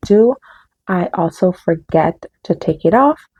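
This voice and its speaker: A somewhat breathy woman speaks with lively intonation. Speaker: booktuber. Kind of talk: casual vlog talk. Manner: fast; stumbling.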